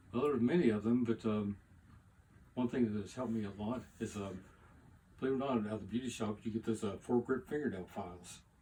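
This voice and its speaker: The voice has a dark, mellow tone and is somewhat breathy. It moves at a very fast pace with ordinary pitch variation. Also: man, medium pitch for a man. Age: 70s. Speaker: model car builder. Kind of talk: casual interview. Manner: hesitant with many fillers.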